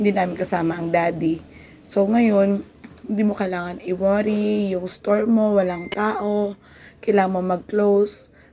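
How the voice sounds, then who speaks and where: Her intonation stays monotone and flat. The woman speaks fairly slowly. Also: medium pitch for a woman. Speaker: vlogger and small business owner. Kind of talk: casual vlog talk. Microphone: no microphone, voice hard to hear.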